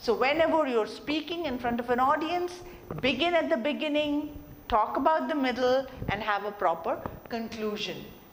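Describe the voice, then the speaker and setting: Over noticeable background noise and audible room echo, a woman talks with lively intonation at a high pitch. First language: not English. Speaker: soft skills trainer. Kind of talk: lecture.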